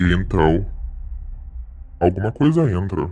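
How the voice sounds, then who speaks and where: This man uses a put-on character voice with a very deep, low pitch. He speaks at a fairly slow pace. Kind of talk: suspenseful horror narration. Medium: game stream. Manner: casual, talks straight to the audience.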